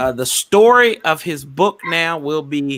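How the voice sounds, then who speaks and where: A man talks in an animated tone. He has a Southern US accent. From US South. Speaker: sports podcast host. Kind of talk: casual chat.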